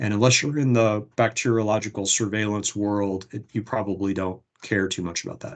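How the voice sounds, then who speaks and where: A man's normal speaking voice at a medium pitch and moderate pace, with fairly even intonation and a quiet background. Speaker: legislative policy presenter. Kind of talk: webinar presentation.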